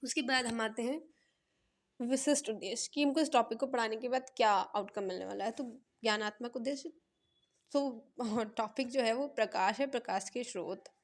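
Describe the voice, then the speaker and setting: Moderately paced female speech, high in pitch, with ordinary pitch variation. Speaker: education student sharing lesson plans. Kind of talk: tutorial. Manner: halting, self-correcting.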